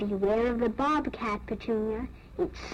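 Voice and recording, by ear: Ordinary pitch variation during reading aloud in a natural voice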